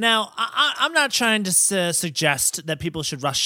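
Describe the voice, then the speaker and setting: The tone is bright and sharp, with an American accent. The recording is very clean, with a silent background. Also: man. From upstate New York. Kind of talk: casual comedy podcast chat.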